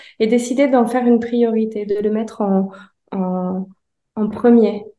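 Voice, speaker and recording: A woman's dark, mellow voice with fairly even intonation and audible room echo. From France, Annecy. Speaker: painter and designer. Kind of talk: interview. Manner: hesitant, many fillers.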